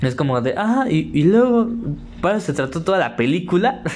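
Lively intonation carries this man's speech at a moderate pace. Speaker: podcast host. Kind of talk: casual solo monologue. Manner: halting with many fillers.

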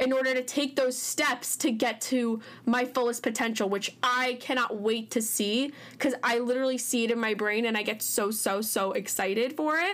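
A woman speaks in an animated tone at a high pitch. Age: young. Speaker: podcast host. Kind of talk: casual monologue. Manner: loud.

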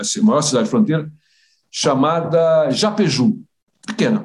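This man speaks at a fairly high pitch. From Brazil. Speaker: retired foreign ministry official. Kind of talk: interview storytelling. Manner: halting, many repetitions.

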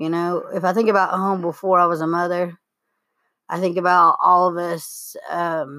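The voice has a bright, sharp tone and a moderate pace. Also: woman. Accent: Appalachian. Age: 30s. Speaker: podcast co-host. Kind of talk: casual chat.

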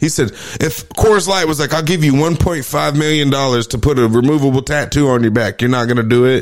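In a plain, everyday voice, a man with a fairly high pitch talks at a fairly quick pace, keeping his loudness very even and barely pausing. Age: 30s. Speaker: podcast host. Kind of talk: casual chat.

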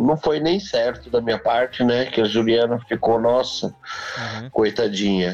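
Music plays behind a man speaking at medium pitch. His pace is fairly slow. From Brazil, São Paulo. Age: 40s. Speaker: restaurant owner. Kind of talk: casual interview.

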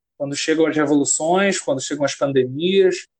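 The intonation of this man stays fairly even. He talks at a moderate speed. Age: 20s. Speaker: graduate student and writer. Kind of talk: casual chat.

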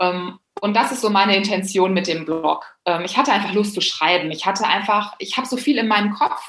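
A woman speaks at a moderate pace with a medium pitch and an ordinary speaking voice. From Germany, Bielefeld. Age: 30s. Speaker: public speaker and blogger. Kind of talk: casual interview.

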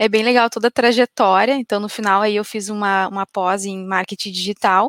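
Dry and close with no echo, a woman's ordinary speaking voice sits fairly high, with fairly even intonation. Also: very clean recording, silent background. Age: 30s. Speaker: marketing software executive. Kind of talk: interview on a business live stream.

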